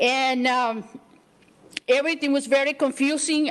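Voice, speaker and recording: A woman talks at a moderate pace with a high pitch and fairly even intonation. Noticeable background noise runs underneath. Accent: Spanish. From El Salvador. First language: Spanish. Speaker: community leader. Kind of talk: acceptance speech. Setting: city council meeting.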